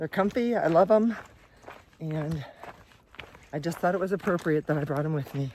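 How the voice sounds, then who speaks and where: A woman speaks at a moderate pace with a fairly low pitch and lively intonation. Noticeable background noise sits behind her. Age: 60s. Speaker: hiking vlogger, retired teacher. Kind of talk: casual vlog. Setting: outdoors on hiking trail.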